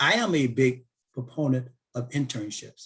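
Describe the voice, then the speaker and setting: Somewhat breathy, a man speaks at a medium pitch with fairly even intonation. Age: 60s. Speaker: aerospace defense industry speaker, former Air Force officer. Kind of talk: webinar Q&A.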